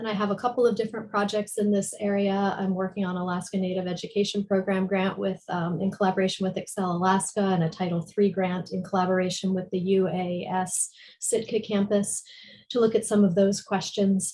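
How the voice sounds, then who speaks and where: A woman with an American accent speaks fairly quickly at a medium pitch. Her tone is dark and mellow, and somewhat breathy. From US East Coast. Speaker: education policy researcher. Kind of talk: panel presentation.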